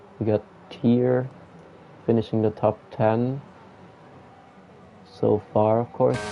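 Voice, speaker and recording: Over noticeable background noise, a man with a medium pitch speaks at a very slow pace in a flat monotone of very even loudness, with long, frequent pauses. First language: not English. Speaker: sim racing commentator. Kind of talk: live commentary.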